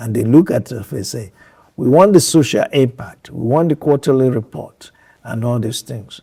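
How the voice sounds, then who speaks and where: At a moderate pace, a man speaks with medium pitch, a dark, mellow tone, somewhat breathy delivery and lively intonation. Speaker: eye surgeon and hospital founder. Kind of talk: interview.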